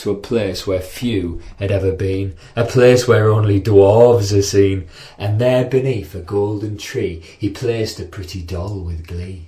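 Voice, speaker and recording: A man has an ordinary speaking voice, fairly low in pitch with ordinary pitch variation. He speaks at a fairly slow pace. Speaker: storyteller. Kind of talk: children's story reading. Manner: rhythmic, rhyming.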